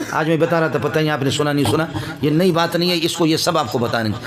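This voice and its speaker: Audible room echo and noticeable background noise surround a man with fairly high pitch and ordinary pitch variation. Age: 50s. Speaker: Islamic cleric. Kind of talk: religious speech. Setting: gathering with audience. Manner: impassioned.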